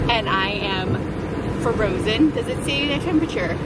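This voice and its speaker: Loud background noise surrounds a woman whose voice is dry, with no echo. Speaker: vlogger. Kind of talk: casual vlog chat. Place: car. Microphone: phone near.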